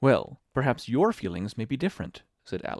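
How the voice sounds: Against a quiet background, a text is read in a natural reading voice.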